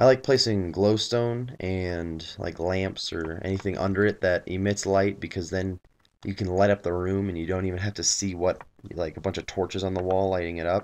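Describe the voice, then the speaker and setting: Against a quiet background, a man with a very deep, low voice speaks at a moderate pace with fairly even intonation. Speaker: gaming video creator. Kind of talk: gameplay commentary. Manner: trying to speak clearly and loudly.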